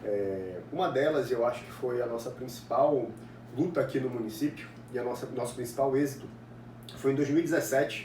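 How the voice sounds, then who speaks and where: In a room with audible echo and noticeable background noise, a man speaks at medium pitch and a moderate pace with ordinary pitch variation. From Brazil, Ananindeua, Pará (northern Brazil). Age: 20s. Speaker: political activist and university student. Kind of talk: interview answers, monologue.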